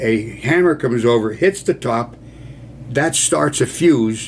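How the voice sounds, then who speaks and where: A man with an American accent talks at a fairly slow pace, his pitch swinging very widely. Noticeable background noise runs underneath. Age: 80s+. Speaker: war veteran. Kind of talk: storytelling. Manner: casual.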